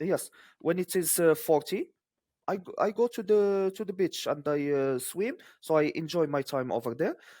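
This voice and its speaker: In a Moroccan accent, a man talks at a moderate pace with high pitch, lively intonation and a dark, mellow tone. The recording is very clean with a silent background. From Morocco. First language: Moroccan Arabic. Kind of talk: interview answer.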